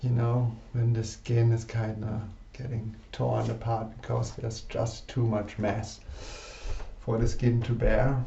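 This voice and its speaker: In a recording with audible room echo, a man with a medium pitch speaks at a very slow pace. His voice is somewhat breathy, with fairly even intonation. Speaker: personal development participant. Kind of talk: personal vlog confession. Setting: alone in a room facing a mirror. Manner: halting.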